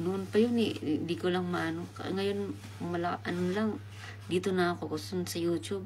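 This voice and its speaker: A woman speaks softly. Her voice carries audible room echo. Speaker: livestreamer. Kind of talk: live stream chat. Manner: soft-spoken.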